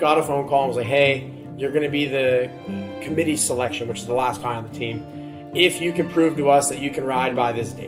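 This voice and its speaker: With music in the background, a man with an American accent speaks at a fairly high pitch, with ordinary pitch variation. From United States. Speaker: Olympic BMX champion and motivational speaker. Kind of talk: interview answer. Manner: casual.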